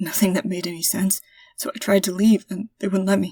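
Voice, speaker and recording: Putting on a raspy character voice, a woman talks at a fairly quick pace with a medium pitch and fairly even intonation, the sound dry and close with no echo. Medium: read story. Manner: hesitant, confused.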